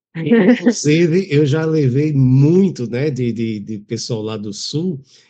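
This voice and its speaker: This man talks very slowly in a fairly high pitch, with a dark, mellow tone and very wide pitch swings. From Pernambuco, Brazil. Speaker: journalist. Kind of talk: casual chat.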